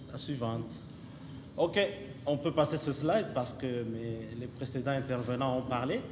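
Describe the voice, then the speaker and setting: Amid audible room echo, a man speaks fairly slowly at a medium pitch with ordinary pitch variation and long, frequent pauses. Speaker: company representative. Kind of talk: conference presentation. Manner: hesitant, many fillers.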